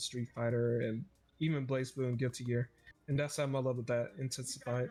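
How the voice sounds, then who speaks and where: This man speaks very fast at a medium pitch, his intonation flat and monotone. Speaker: podcast host. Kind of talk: casual chat. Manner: loud.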